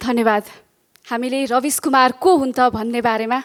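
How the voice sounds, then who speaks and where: This woman's voice sits at a high pitch. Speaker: event presenter. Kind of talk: event introduction. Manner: fluent.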